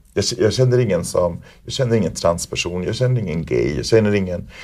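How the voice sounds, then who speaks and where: A man's fairly low, dark, mellow voice with vocal fry, lively intonation and a very fast pace. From Sweden (Värmland). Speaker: performer, choreographer and teacher. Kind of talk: interview. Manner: hesitant with fillers.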